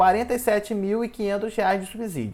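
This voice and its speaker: A man with a high voice talks at a fairly quick pace, his pitch varying in an ordinary way. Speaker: journalist, finance explainer. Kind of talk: tutorial. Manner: fast.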